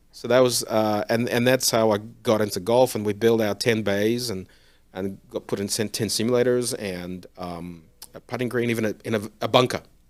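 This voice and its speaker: A man with an Australian accent speaks at a moderate pace and medium pitch, his intonation fairly even. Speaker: golf simulator company founder. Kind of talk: interview.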